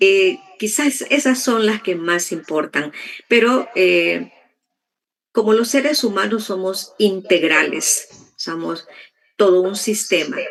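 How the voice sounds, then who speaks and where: A woman's very slow speech with lively intonation. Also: medium pitch for a woman. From El Salvador, rural. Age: 60s. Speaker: interviewee sharing life story. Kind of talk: testimony interview.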